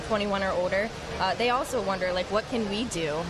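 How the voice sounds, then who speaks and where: Music plays in the background, and audible room echo is present. A woman talks at a fairly quick pace with ordinary pitch variation. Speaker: youth volunteer. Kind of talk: live interview.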